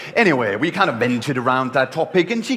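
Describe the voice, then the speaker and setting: A man's pitch rises and falls very widely amid noticeable background noise. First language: not English. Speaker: contest speaker. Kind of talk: humorous speech. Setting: stage with audience. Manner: animated.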